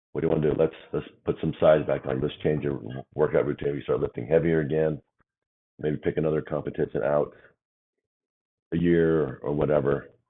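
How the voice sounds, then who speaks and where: A man with a very deep, low pitch talks at a fairly quick pace in a monotone, flat intonation, broken by long, frequent pauses. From Idaho, US. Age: 50s. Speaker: business owner. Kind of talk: podcast interview.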